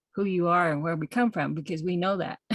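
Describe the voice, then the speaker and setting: A plain, everyday voice with fairly even intonation, dry, close sound with no echo, and a quiet background. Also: woman. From Navajo Nation, US Southwest. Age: 60s. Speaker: textile artist. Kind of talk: panel presentation. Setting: video call.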